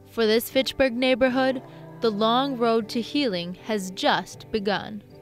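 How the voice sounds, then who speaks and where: A woman with a fairly high pitch speaks over music in the background. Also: ordinary pitch variation. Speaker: TV news reporter. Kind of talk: TV news report.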